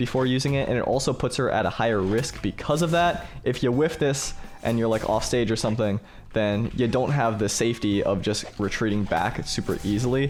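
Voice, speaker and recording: Over music in the background, a man speaks at medium pitch with ordinary pitch variation. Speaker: gaming streamer. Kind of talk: game commentary tutorial. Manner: fast.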